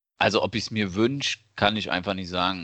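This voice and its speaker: Over a quiet background, a man with a fairly low pitch and a bright, sharp tone speaks at a moderate pace with fairly even intonation. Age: 30s. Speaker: podcast co-host, father. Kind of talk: casual chat.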